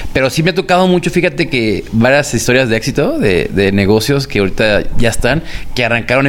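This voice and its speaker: Over noticeable background noise, a man talks at a very fast pace. His pitch sits in the middle range, and his intonation is lively. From Mexico, Guadalajara. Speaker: food blogger. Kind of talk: interview.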